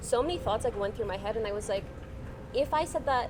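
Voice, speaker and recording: There is noticeable background noise as a woman speaks in a high-pitched voice. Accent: American. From Oman, international school. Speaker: law student, interview guest. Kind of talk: casual chat. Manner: animated, many fillers.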